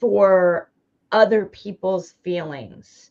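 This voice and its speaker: A woman speaks loudly in an animated tone. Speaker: comic review podcast co-host. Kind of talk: casual chat.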